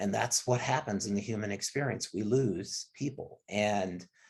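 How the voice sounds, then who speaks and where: A man's somewhat breathy voice. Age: 60s. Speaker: fitness industry executive. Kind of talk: interview. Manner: halting.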